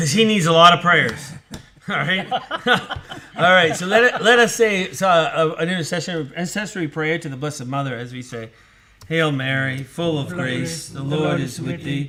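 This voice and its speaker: Over noticeable background noise, a man with a fairly high pitch speaks with big swings in loudness. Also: ordinary pitch variation, moderate pace. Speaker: priest. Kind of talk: casual chat. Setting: live online broadcast.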